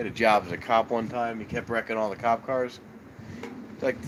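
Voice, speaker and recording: With noticeable noise behind him, a man speaks at a moderate pace. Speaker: live streamer, train watcher. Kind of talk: casual live stream chat. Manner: rambling, casual, halting.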